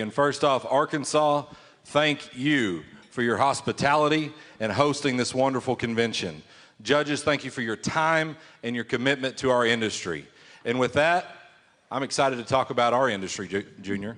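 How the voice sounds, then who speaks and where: A man with an American accent, a plain, everyday voice at medium pitch, ordinary pitch variation, a moderate pace and a quiet background. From Oklahoma. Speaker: auctioneer. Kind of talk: contest interview answer. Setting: contest stage, PA system.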